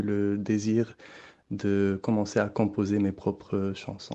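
Very slowly, a man speaks in a dark, mellow tone. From Morocco. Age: young. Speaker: electronic musician. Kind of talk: interview.

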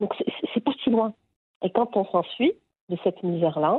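Moderate pacing and ordinary pitch variation from a woman's voice. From Morocco, Agadir. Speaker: rural heritage project founder. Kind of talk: interview. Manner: halting.

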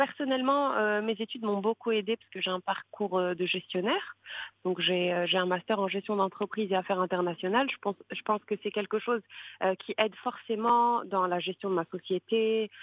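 With a medium pitch and ordinary pitch variation, a woman talks at a moderate pace. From Morocco, Marrakech. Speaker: social media influencer and digital entrepreneur. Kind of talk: interview. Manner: hesitant, many fillers.

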